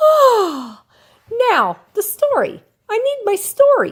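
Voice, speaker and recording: Putting on a character voice, a woman cackles at an extremely high pitch and a very slow pace. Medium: read story. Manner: cackling, bossy.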